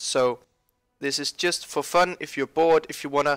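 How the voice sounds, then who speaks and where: In a very clean recording with a silent background, a man with a fairly high pitch speaks fairly slowly in a dry, close sound with no echo. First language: not English. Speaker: gaming youtuber. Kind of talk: game tutorial.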